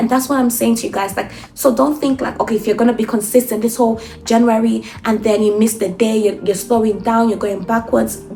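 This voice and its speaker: A woman speaks at a fairly quick pace with a fairly high pitch, and there is noticeable background noise. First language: not English. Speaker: self-improvement vlogger. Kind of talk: motivational monologue. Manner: animated.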